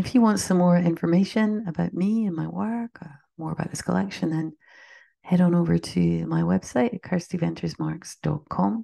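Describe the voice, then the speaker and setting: A woman speaks in a warm tone against a quiet background, her loudness swinging widely. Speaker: poet. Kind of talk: poem reading, slow and reflective, after a chatty intro. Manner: measured, gentle, lyrical; warm, conversational between poems.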